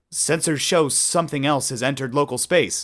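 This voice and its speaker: A man puts on a fairly high-pitched character voice and speaks at a fairly quick pace. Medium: read story. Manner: nervous.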